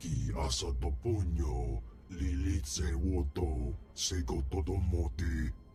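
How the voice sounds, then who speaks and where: Over clear background music, a man growls in a put-on character voice at a fairly slow pace. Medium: video game. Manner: speaks only in alien language.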